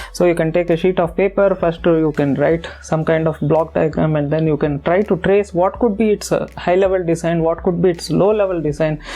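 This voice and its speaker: With a non-native accent, the speaker moves at a fairly quick pace with hardly any pauses over noticeable background noise. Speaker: tech YouTuber, software developer. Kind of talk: tutorial talk to camera. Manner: many hesitations and repetitions.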